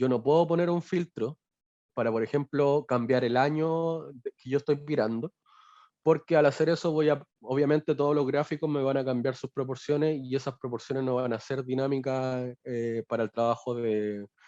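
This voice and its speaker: A man speaks at a moderate pace in a medium-pitched voice with a dark, mellow tone and fairly even intonation, recorded dry and close with no echo. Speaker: BI consultant. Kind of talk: webinar tutorial. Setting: video call.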